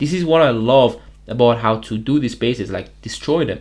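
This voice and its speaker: A man speaks with a non-native accent. His pitch variation is ordinary. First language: not English. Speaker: gaming youtuber. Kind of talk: gameplay commentary. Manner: casual.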